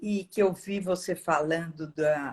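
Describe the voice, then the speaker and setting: Fairly low for a woman, her pitch shows ordinary variation in a plain, everyday voice. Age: 60s. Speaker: course student. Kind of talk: casual chat.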